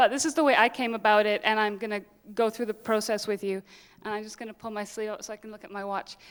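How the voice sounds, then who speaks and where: Talking at a very fast pace, a woman with a fairly high pitch keeps her intonation fairly even while her loudness swings widely. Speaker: dance filmmaker and choreographer. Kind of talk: lecture.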